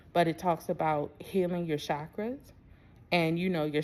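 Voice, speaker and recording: Her pitch sits very deep and low for a woman, and her intonation is monotone and flat. She speaks at a moderate pace with a Baltimore accent. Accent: Baltimore way of talking. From US, Baltimore. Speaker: spiritual self-love coach. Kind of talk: casual vlog monologue. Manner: casual, conversational.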